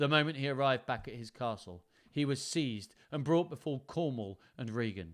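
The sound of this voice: Someone reads in an unforced voice, the pitch varying in an ordinary way.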